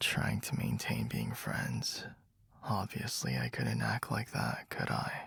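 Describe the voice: A man whispers slowly in a put-on character voice with vocal fry.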